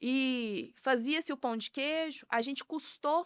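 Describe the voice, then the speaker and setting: In a strong Minas Gerais accent, a woman speaks with ordinary pitch variation on a very clean recording with a silent background and a dry, close sound with no echo. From Minas Gerais, Brazil (Piuí). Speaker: food business owner. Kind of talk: podcast interview.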